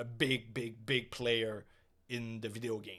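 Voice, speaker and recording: Very slowly, a man speaks. The recording is very clean, with a silent background. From Quebec. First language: French. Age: 30s. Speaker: gaming streamer and podcast host. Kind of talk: casual solo podcast monologue. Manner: hesitant, many fillers.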